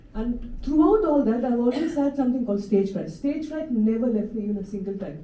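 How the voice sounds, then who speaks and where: A woman's high voice with lively intonation, at a fairly quick pace with hardly any pauses, over noticeable background noise. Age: 60s. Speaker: Parkinson's patient speaker, former performer. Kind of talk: personal testimony talk. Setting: stage with audience. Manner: halting, with false starts; animated.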